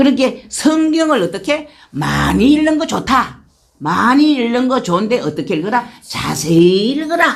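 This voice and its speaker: A woman talks fairly slowly at a high pitch, her voice swinging very widely up and down. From rural Korea. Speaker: church deaconess giving testimony. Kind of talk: testimony.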